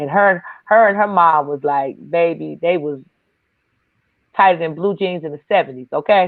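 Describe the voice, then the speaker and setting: At a moderate pace, a woman talks in a fairly low pitch with an animated tone, ordinary pitch variation, long, frequent pauses and big swings in loudness. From Detroit, US Midwest. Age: 50s. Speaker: comedian. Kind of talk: casual chat.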